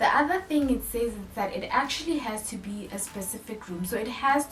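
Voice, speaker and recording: The room echo is audible and background noise is noticeable. A woman talks at a moderate pace. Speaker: personal finance YouTuber. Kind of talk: tutorial.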